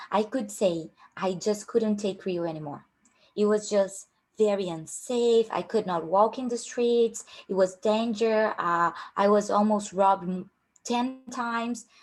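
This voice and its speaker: A woman speaks with a strong Brazilian accent. Her pace is fairly slow. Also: medium pitch for a woman, ordinary pitch variation. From Brazil, Rio de Janeiro. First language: Portuguese. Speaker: career coach at a tech recruiting company. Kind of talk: online workshop.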